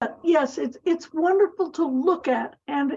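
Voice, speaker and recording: A woman with an American accent, dark, mellow tone and moderate pace. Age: 80s+. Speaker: planning committee member. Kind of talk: public meeting discussion.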